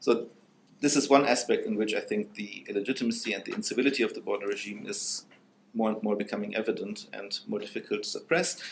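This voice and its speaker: Light noise runs in the background while a man talks very fast. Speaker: philosophy professor. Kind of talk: academic panel talk. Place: hall.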